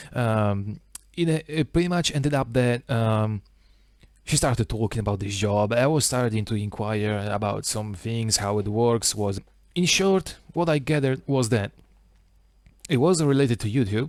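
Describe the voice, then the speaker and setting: On a very clean recording with a silent background, a man with an Italian accent, medium pitch and lively intonation talks at a moderate pace. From Italy. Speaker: small YouTuber. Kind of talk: casual monologue vlog. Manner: halting, many fillers.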